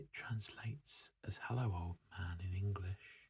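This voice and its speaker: Soft-spoken and somewhat breathy, a man talks at a very slow pace in a fairly low voice with a dark, mellow tone. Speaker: ASMR creator. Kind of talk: ASMR book showcase, soft-spoken reading. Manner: soft-spoken, relaxing.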